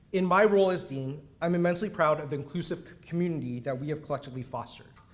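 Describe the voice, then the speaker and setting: Fairly quick male speech, high in pitch, with ordinary pitch variation. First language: Mandarin. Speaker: university dean. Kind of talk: ceremonial speech. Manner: formal.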